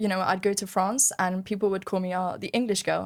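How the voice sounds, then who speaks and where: On a very clean recording with a silent background, a woman speaks very fast in a medium pitch, monotone and flat. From London, England. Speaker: podcast guest. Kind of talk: casual chat.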